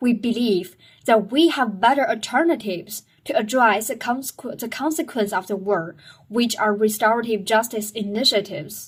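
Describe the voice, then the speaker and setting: At a moderate pace, the somewhat breathy voice shows ordinary pitch variation. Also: woman, fairly high pitch for a woman. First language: not English. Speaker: student sharing school assignments. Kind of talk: reading aloud a debate speech. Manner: halting.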